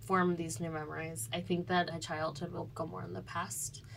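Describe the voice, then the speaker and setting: A woman with an American accent speaks with vocal fry amid audible room echo. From Evanston, Illinois, US Midwest. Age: young. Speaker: college student. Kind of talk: interview.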